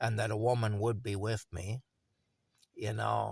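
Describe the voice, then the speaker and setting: On a very clean recording with a silent background and a dry, close sound with no echo, a man with a Canadian accent speaks at a moderate pace and a fairly low pitch, with vocal fry and a monotone, flat intonation. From Ontario, Canada. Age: 50s. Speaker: vlogger. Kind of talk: personal video monologue. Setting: cold camper in a field. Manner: halting, with fillers.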